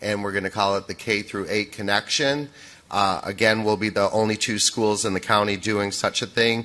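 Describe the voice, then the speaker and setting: In a fairly low pitch, a man speaks at a moderate pace with a bright, sharp tone and flat, monotone intonation. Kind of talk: public meeting presentation. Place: hall. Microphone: podium.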